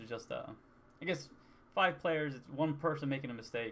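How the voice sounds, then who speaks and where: A man's soft-spoken voice moves through ordinary pitch variation. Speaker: gamer vlogger. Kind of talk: casual talk to camera. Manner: hesitant, rambling.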